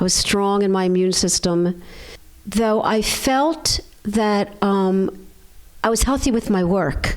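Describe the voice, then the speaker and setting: With a Philadelphia accent, a woman at medium pitch speaks at a very slow pace with long, frequent pauses, very even loudness and ordinary pitch variation. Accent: American, Philadelphia. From US, Philadelphia. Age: 60s. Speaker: chiropractor. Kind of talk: interview.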